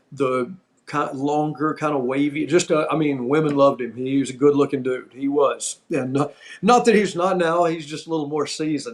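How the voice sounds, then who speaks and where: This man has a plain, everyday voice. His pitch is fairly high, with ordinary variation. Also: moderate pace. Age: 60s. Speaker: former pro wrestler, podcast host. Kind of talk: casual storytelling chat.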